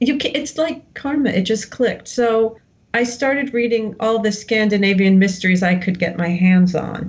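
With an American accent, a woman speaks at a moderate pace in a fairly high pitch, with ordinary pitch variation and very even loudness over noticeable background noise. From New Jersey, US. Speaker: novelist. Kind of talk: interview.

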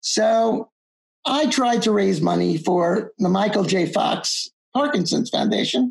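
A woman with an American accent uses vocal fry and lively intonation at a medium pitch. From US Northeast (Long Island, New York). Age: 70s. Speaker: accountant and exam-prep teacher. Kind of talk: interview. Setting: video call.

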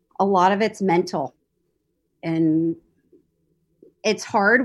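Over a quiet background, a woman speaks at a medium pitch. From Kansas, US Midwest. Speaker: magazine publisher. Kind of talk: interview.

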